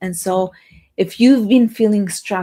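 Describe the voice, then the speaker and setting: A woman speaks at a moderate pace with ordinary pitch variation and a somewhat breathy quality. The recording is very clean, with a silent background. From Romania. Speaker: motivational speaker. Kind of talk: live stream talk. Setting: livestream.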